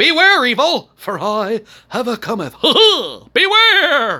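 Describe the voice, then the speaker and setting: Very slowly, a high-pitched put-on character voice swings very widely in pitch. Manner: grand, dramatic.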